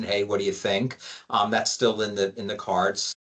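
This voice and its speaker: A man with a plain, everyday voice talks at a moderate pace with fairly even intonation. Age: 60s. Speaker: lawyer. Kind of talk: interview.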